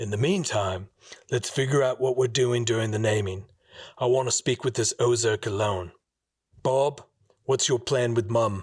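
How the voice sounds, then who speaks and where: Over a very clean recording with a silent background, a man does a raspy, put-on character voice at medium pitch, with long, frequent pauses. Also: moderate pace. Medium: read story.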